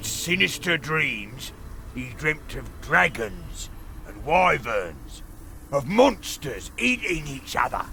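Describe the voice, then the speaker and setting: A man speaks in a put-on character voice at a very slow pace. Clear background noise runs underneath. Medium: video game. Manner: sardonic, impatient.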